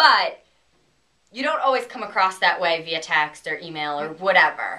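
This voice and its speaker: Fairly quick female speech. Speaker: dating advice vlogger. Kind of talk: casual advice chat. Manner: loud.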